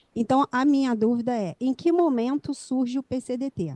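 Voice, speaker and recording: A woman talks with a high pitch and a dark, mellow tone at a fairly slow pace. The sound is dry and close, with no echo. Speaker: pharmacist, student. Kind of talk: audience question. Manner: soft-spoken.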